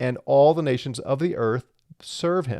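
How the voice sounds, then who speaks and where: A man with a normal speaking voice at a moderate pace, ordinary pitch variation, dry, close sound with no echo, and a quiet background. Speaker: Bible teacher. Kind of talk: Bible teaching.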